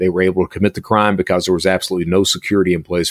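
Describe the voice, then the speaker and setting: A man speaks in an Appalachian accent with a very deep, low pitch. The recording is very clean with a silent background. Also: dry, close sound with no echo. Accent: Appalachian US Southern. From Eastern Kentucky (Hazard). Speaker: cybersecurity consultant and former cybercriminal. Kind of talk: interview conversation.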